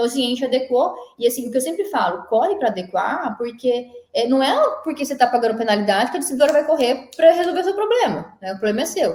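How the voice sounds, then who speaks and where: A high-pitched woman's voice with very wide pitch swings at a very fast pace. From Mato Grosso do Sul, Brazil. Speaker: energy consultant and engineer. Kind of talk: casual interview.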